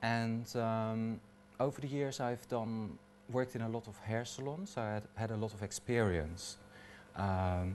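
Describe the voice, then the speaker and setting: A man talks with a slight Dutch accent. He speaks at a fairly slow pace with lively intonation. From Netherlands. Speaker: hairdresser. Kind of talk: personal talk. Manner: halting, many fillers.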